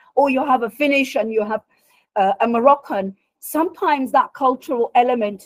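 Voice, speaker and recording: A loud, high-pitched woman's voice at a fairly quick pace with ordinary pitch variation. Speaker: career coach presenter. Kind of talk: workshop talk.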